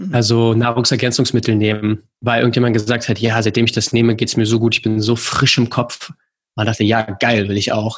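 Over a quiet background, a man of medium pitch talks at a fairly quick pace with very even loudness and monotone, flat intonation. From Berlin, Germany. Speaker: rowing coach. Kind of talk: casual chat.

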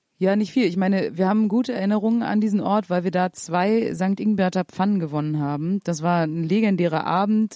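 In a very clean recording with a silent background, a woman of medium pitch speaks at a moderate pace with a dark, mellow tone and fairly even intonation. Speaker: podcast host, musician. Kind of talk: casual chat. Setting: hotel room. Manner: loud.

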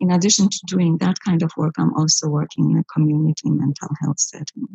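The voice is somewhat breathy, with ordinary pitch variation. It moves at a moderate pace with hardly any pauses. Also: woman. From Poland, Bydgoszcz. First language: Polish (speaking German). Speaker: psychologist. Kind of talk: interview.

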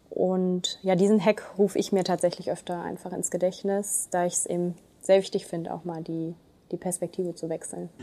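Her tone dark and mellow, a woman talks at a moderate pace in a flat monotone. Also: medium pitch for a woman. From Germany, Ruhr area (Duisburg). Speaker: municipal administrator. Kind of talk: podcast interview.

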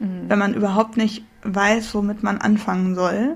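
Medium pitch, a somewhat breathy tone and a moderate pace from a woman. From northern Germany. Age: 20s. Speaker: podcast co-host, student. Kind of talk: casual chat.

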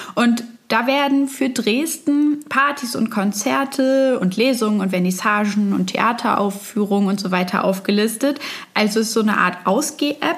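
Against noticeable background noise, a woman with a fairly high voice talks at a moderate pace, with ordinary pitch variation and very even loudness. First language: German. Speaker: reporter. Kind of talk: narrated report in German.

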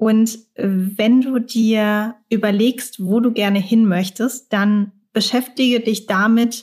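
A woman's somewhat breathy, medium-pitched voice with fairly even intonation. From Germany, Mannheim. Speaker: career coach. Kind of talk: casual interview.

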